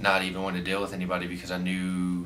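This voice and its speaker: A man speaks with a very deep, low pitch. Room echo is audible. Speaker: vlogger. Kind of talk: casual storytime vlog. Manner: halting, filler-heavy.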